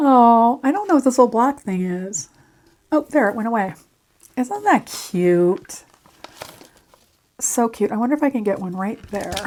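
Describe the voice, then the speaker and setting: Soft-spoken, the speaker keeps a moderate pace with lively intonation. Long, frequent pauses break up the speech. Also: woman, fairly high pitch for a woman. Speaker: crafting YouTuber. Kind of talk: craft tutorial. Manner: casual, chatty.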